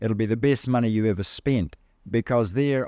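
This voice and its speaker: Dark and mellow in tone, the man's voice shows ordinary pitch variation. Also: dry, close sound with no echo, quiet background. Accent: New Zealand. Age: 70s. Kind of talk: talk to an audience. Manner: animated.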